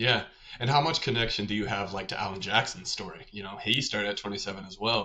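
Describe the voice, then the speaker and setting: With an American accent, a man speaks at a very fast pace in a fairly low, bright and sharp voice, his pitch varying in an ordinary way and his loudness swinging widely. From Arkansas, US South. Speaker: podcast host. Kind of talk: interview. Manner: casual.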